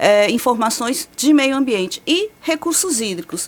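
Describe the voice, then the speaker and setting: A woman speaks at a fairly slow pace with a São Paulo accent, with noticeable background noise behind her. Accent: paulista. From São Paulo state, Brazil. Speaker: meteorologist. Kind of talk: radio interview. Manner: explanatory.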